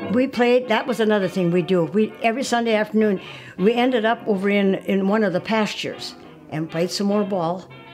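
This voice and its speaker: A woman's medium-pitched voice with an American accent, ordinary pitch variation, and music playing in the background. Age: 80s+. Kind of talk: interview answer.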